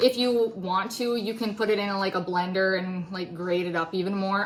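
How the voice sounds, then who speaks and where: With fairly even intonation and a medium pitch, a woman talks at a moderate pace as noticeable background noise goes on. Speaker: DIY video creator. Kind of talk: tutorial. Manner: casual, with many filler ums.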